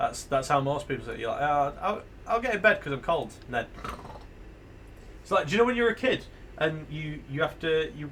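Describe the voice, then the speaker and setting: A man with a British accent talks at a very fast pace. His intonation is lively. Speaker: video game streamer. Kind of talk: live game stream with reading aloud. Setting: live stream.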